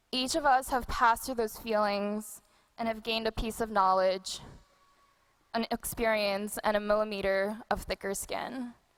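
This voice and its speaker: Fairly even intonation runs through a woman's fairly high-pitched speech. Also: moderate pace. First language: not English. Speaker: graduating medical student. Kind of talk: commencement speech.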